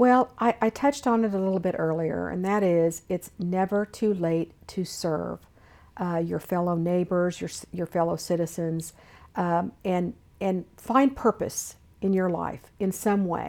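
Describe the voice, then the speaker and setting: At a fairly slow pace, a woman speaks in an unremarkable speaking voice, fairly low in pitch with ordinary variation, on a very clean recording with a silent background. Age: 60s. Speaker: state government official. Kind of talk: interview.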